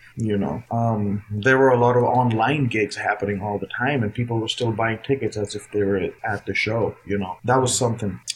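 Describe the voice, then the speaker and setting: The speech moves at a moderate pace with hardly any pauses and fairly even intonation, over noticeable background noise. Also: man, medium pitch for a man. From India, Noida (capital region). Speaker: jazz guitarist and educator. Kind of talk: interview.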